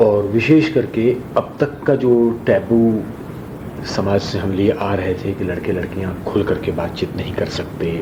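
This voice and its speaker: A man with a fairly low voice talks over noticeable background noise. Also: ordinary pitch variation. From Bihar, Mithila region, India. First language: Maithili and Rajasthani (speaking Hindi). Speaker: theatre actor and director. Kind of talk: interview. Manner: formal.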